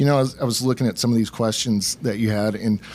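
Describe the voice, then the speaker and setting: A man with an Arkansas accent and fairly even intonation. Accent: Southern US (Arkansas). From Arkansas, US South. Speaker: special education teacher. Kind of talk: interview. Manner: casual, halting with fillers.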